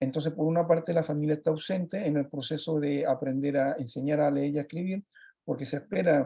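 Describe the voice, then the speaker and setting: In a Chilean accent, a man talks with a dark, mellow tone, a fairly high pitch and fairly even intonation. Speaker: project facilitator working with children. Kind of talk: presentation talk on a video call. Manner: fast; halting, with many fillers.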